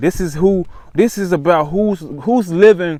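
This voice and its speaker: An animated man with an American accent, high pitch and ordinary pitch variation, on a very clean recording with a silent background. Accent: slightly changed Memphis. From US South, Memphis, Tennessee. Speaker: vlogger. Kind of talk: casual talk to camera. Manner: animated, repetitive.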